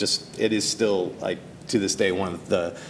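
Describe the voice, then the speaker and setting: A man with a fairly low pitch at a moderate pace, plus audible room echo. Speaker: animation producer. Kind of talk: talk show interview. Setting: stage with audience. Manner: halting, many fillers.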